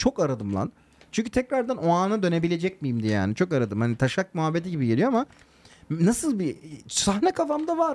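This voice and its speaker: A man's high voice leaps through very wide pitch swings as he speaks fairly quickly. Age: 30s. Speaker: podcast co-host. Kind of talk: casual chat.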